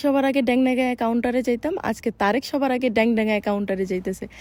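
High-pitched speech from a woman, with ordinary pitch variation. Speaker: vlogger. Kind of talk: casual vlog. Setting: shopping mall.

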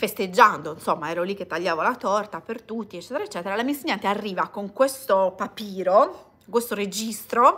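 At a fairly quick pace, a woman with an Italian accent speaks in a bright, sharp tone, with ordinary pitch variation and big swings in loudness. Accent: Italian accent when speaking English. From Italy. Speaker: vlogger. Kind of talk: casual livestream chat. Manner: hesitant with many fillers. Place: home room. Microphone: phone near.

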